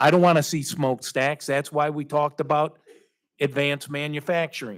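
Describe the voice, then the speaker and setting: A man with an American accent and an unremarkable speaking voice talks at a fairly quick pace. His pitch is fairly high, and his intonation is fairly even. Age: 60s. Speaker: city council member. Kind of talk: formal public meeting statement. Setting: council chamber with public.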